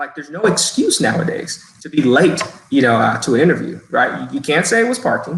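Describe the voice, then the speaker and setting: An ordinary speaking voice from a man with a fairly high pitch and lively intonation. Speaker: human resources professional. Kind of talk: webinar talk giving interview tips. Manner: frequent fillers and repetitions.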